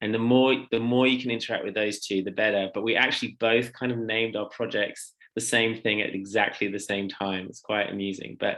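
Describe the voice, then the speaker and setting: A man with an English accent, moderate in pace, his intonation fairly even. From England. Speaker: social enterprise founder and theologian. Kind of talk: workshop presentation. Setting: video call workshop.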